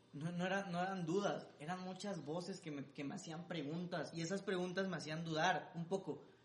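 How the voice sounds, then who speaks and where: Amid audible room echo, a man speaks fairly quickly in a high, monotone, flat voice. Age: 20s. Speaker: singer-songwriter and music producer. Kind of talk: interview.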